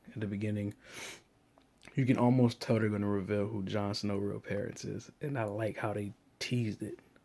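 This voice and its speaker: Moderate pace and fairly low pitch from a male speaker. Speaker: TV episode reviewer. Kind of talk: casual talk to camera. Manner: monotonous.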